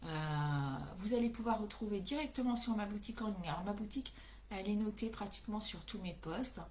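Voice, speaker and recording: Woman at a medium pitch, lively in intonation, at a moderate pace, with audible room echo and noticeable background noise. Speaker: craft demonstrator. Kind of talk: live craft tutorial. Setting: livestream. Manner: hesitant, many fillers.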